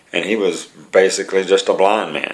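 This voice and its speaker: A man talks at a moderate pace. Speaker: preacher. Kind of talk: testimony, sermon-like talk. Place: home room. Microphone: webcam.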